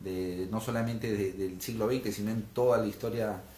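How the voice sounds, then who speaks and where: The speaker is somewhat breathy, keeping a moderate pace and fairly even intonation, with audible room echo in the recording. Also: man. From Peru, Lima. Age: 30s. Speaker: political candidate. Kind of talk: interview. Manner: hesitant fillers.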